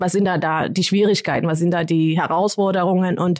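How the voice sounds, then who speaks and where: A woman's unremarkable speaking voice at a fairly quick pace with fairly even intonation, dry and close with no echo, in a very clean recording with a silent background. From Kenya. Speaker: development worker. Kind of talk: interview. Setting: studio.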